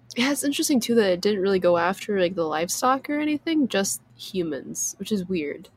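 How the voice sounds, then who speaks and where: A woman with an American accent and medium pitch talks at a fairly quick pace with hardly any pauses. Noticeable background noise can be heard. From US Midwest. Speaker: podcast co-host. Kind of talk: casual chat.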